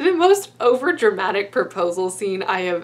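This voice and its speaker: A woman is speaking. Her pace is moderate. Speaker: book vlogger. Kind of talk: casual vlog chat. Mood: amused, enthusiastic. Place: home room.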